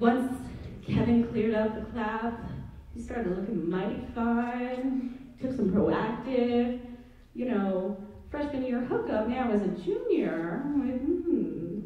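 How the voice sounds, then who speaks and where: Speaking very slowly, a woman uses a high pitch with ordinary pitch variation, and audible room echo surrounds her. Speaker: student stand-up comedian. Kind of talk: stand-up comedy. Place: stage.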